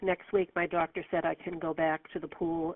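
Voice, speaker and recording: Here is a woman with an ordinary speaking voice and a fairly low pitch. She talks at a moderate pace with fairly even intonation. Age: 60s. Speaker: caller, arthritis patient. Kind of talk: call-in question.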